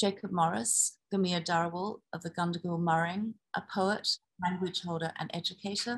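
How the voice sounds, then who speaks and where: A woman speaks in a somewhat breathy, fairly low voice with fairly even intonation. The background is quiet. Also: moderate pace. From UK. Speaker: symposium moderator. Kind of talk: moderated panel discussion. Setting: video call. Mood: calm, warm. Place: home room. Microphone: webcam.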